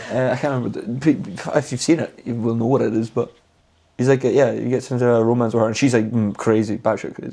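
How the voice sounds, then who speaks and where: A voice in a Scottish accent speaks at a very fast pace with fairly even intonation. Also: man, medium pitch for a man. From Scotland. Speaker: podcast co-host. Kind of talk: casual chat. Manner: halting.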